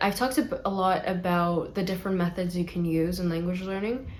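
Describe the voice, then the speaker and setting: A woman with a fairly low pitch and a somewhat breathy voice speaks at a moderate pace with fairly even intonation. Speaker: language learning YouTuber. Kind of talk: casual talk to camera.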